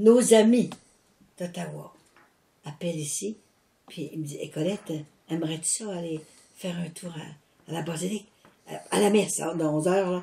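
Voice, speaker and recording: A woman speaks at a moderate pace in a somewhat breathy voice with a dark, mellow tone. Her pitch varies in an ordinary way, her loudness swings widely, and she leaves long, frequent pauses. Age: 80s+. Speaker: religious mission founder. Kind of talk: casual chat. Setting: at home. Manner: animated.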